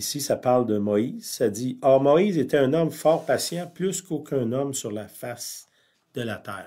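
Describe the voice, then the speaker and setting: A man speaks at a fairly slow pace with lively intonation and a dark, mellow tone, on a very clean recording with a silent background. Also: fairly high pitch for a man. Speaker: pastor. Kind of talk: sermon.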